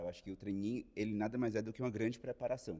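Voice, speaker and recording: With a Ceará accent, a man with a fairly low, dark and mellow voice talks at a very fast pace with fairly even intonation. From Ceará, Brazil. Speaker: management trainee. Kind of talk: casual interview chat.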